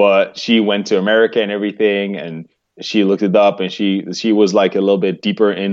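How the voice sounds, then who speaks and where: A man with a Dutch accent and a fairly low pitch. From Netherlands. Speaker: vegan bodybuilder. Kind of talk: interview. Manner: halting.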